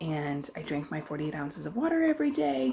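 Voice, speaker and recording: Soft-spoken, this woman talks with a very deep, low pitch. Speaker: weight loss vlogger. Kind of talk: casual vlog update. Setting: at home.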